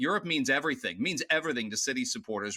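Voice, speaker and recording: A man with a Canadian accent speaks at a very fast pace in a bright, sharp tone, with very wide pitch swings. The recording is very clean and dry, close with no echo, against a silent background. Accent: Canadian twang. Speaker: football pundit. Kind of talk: debate.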